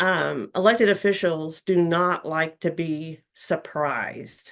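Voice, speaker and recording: Against a quiet background, a woman speaks very slowly. Her pitch is fairly low and her intonation fairly even. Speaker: speaker on working with elected officials. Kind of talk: webinar presentation. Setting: online webinar.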